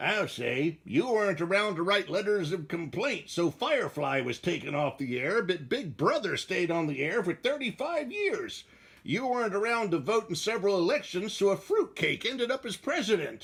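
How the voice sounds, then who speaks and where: A man puts on a cartoonish character voice, high-pitched, at a moderate pace with hardly any pauses. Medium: puppet show. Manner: wisecracking.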